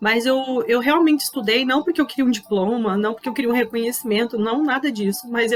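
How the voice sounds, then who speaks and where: A woman talks at a moderate pace with a fairly high pitch. Her pitch variation is ordinary, and background noise is noticeable. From southern Brazil, Pelotas, Rio Grande do Sul. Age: 30s. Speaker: leadership speaker. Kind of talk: personal testimony talk.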